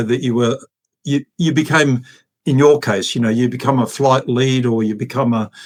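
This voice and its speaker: The speaker is a man with an Australian accent. His pitch shifts in an ordinary way. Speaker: retired air force officer and fighter pilot. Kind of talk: interview storytelling. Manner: hesitant, many fillers.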